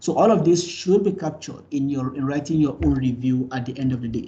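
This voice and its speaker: In a room with audible echo, a man with a fairly high pitch speaks at a fairly quick pace in a dark, mellow tone that is somewhat breathy. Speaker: university lecturer. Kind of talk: lecture. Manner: fast.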